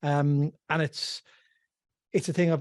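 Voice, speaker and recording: In an Irish accent, the voice has a dark, mellow tone and fairly even intonation. The recording is very clean and dry, with a silent background and a close sound with no echo. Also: man. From west of Ireland. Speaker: financial planner. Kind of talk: casual chat.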